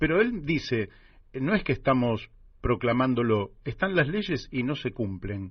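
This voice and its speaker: A somewhat breathy man at a fairly slow pace, medium pitch with very wide pitch swings. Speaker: radio host. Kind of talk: radio interview.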